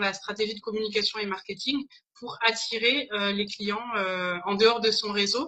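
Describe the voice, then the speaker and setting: Her intonation stays fairly even at a moderate pace. The woman's pitch sits fairly high. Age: 30s. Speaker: business consultant. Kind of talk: interview. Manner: hesitant, many fillers.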